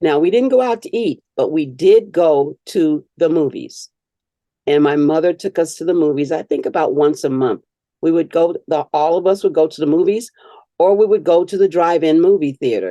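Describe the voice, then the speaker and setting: Dark and mellow in tone, a woman speaks at a moderate pace with a fairly low pitch and ordinary pitch variation, in a dry, close sound with no echo. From Detroit, US Midwest. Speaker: storyteller, oral history interviewee. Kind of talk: oral history interview.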